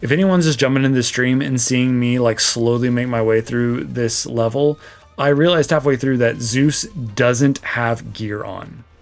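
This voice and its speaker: Music plays behind a man talking at a moderate pace with hardly any pauses. His voice sits at a medium pitch and shows ordinary pitch variation. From Texas. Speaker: gaming streamer. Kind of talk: live gameplay stream commentary. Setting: live stream. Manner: animated.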